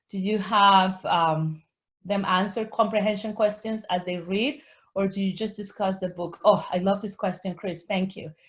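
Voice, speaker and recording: A woman with a Spanish accent speaks at a moderate pace and a medium pitch. Her voice is somewhat breathy, with fairly even intonation, against a quiet background. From Colombia. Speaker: Spanish teacher and author. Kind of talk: webinar Q&A. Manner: halting, frequent self-corrections.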